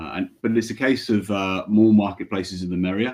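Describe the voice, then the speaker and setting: A man with a British accent, dark and mellow in tone, his intonation fairly even, against a quiet background. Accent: British, noted by speaker. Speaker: payments company regional manager. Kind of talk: webinar panel presentation.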